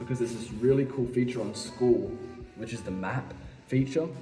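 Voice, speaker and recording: Music plays in the background as a man in an Australian accent talks at a medium pitch and a moderate pace. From Western Australia. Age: young. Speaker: violinist. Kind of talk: casual talk to camera.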